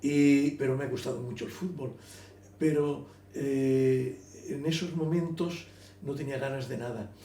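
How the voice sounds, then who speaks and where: Speaking at a fairly slow pace with long, frequent pauses, a man with a fairly high voice is heard in a room with audible echo. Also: ordinary pitch variation. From Elche, Valencian Community, Spain. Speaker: writer. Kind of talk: interview. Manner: halting, repetitive.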